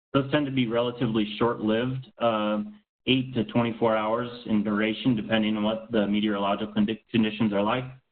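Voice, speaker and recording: Talking at a fairly quick pace, a man holds a medium pitch in a monotone, flat intonation with very even loudness and audible room echo. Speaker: space radiation scientist. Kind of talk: lecture. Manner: fast.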